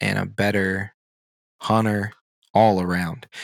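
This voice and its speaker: A man with an American accent speaks with fairly even intonation in a very clean recording with a silent background. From rural Virginia, Blue Ridge mountains. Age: 30s. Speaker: podcast co-host. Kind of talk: casual chat. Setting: in person at a table.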